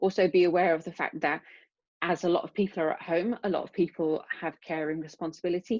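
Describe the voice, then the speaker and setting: At a fairly quick pace, a woman with a British accent speaks with ordinary pitch variation in a dry, close sound with no echo. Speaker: neuroscience researcher. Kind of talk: lecture. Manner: fast.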